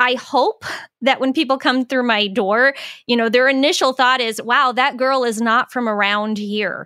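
A woman with an American accent, high-pitched and bright with a sharp tone, at a moderate pace with ordinary pitch variation, in a very clean recording with a silent background and a dry, close sound with no echo. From US Southwest (Phoenix, Arizona). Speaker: podcast host and author. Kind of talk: casual chat.

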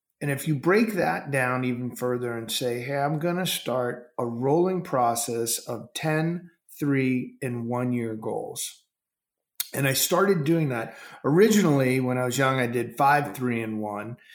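Audible room echo surrounds a man speaking at a fairly slow pace with a medium pitch and ordinary pitch variation. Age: 50s. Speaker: entrepreneur and goal-setting author. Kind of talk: interview. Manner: animated.

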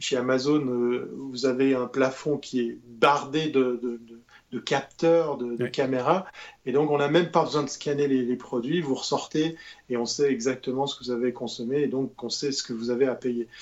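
In a normal speaking voice at medium pitch, a man talks at a moderate pace with fairly even intonation and big swings in loudness. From Switzerland. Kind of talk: casual chat.

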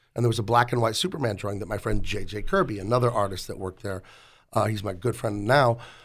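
The recording is very clean with a silent background. A man talks at a very fast pace. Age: 40s. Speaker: comic book artist. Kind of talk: casual chat. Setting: studio.

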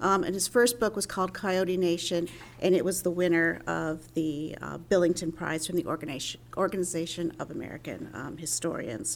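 A woman speaks at a fairly quick pace with a fairly low pitch and ordinary pitch variation. Vocal fry runs through her voice. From New Mexico. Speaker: history professor and panel moderator. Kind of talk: panel moderation.

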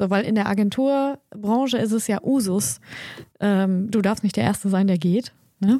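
A woman with a dark, mellow tone talks at a moderate pace with ordinary pitch variation. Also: medium pitch for a woman, very even loudness. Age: 40s. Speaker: agency founder and podcast co-host. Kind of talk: casual chat.

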